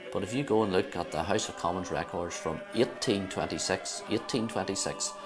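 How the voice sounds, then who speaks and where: A man's very deep, low voice at a very fast pace, ordinary pitch variation, music in the background. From Northern Ireland, County Down. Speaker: Orange Order member visiting Africa. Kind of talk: interview. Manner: halting, hesitant.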